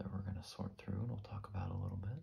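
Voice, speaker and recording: A soft-spoken man, fairly low in pitch and somewhat breathy, with a dark, mellow tone, fairly even intonation and a relaxed, calm tone over light background noise. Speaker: ASMR creator. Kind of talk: ASMR soft-spoken ramble. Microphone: studio mic.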